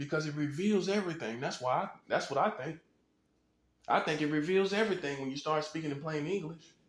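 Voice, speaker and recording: A man with an American accent speaks at a fairly quick pace in a high pitch with lively intonation. The room has audible echo. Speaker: online commentator. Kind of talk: casual monologue. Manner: plain conversational.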